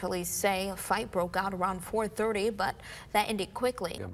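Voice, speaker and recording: A woman at medium pitch has a plain, everyday voice with fairly even intonation at a moderate pace. The recording is very clean, with a silent background. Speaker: TV news anchor and reporter. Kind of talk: TV news anchor read.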